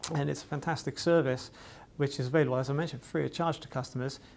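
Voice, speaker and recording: With a Welsh accent, a man talks at a fairly high pitch and keeps his intonation fairly even. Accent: faint Welsh, hardly noticeable. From Wales, Cardiff. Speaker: IT distributor vendor manager. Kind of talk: corporate promotional talk. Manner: casual, with many fillers.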